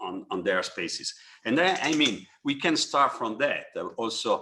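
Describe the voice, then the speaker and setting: This man speaks at a moderate pace with an Italian accent. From Italy. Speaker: architect. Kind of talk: webinar panel discussion. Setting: online webinar. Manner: halting, many fillers and repetitions.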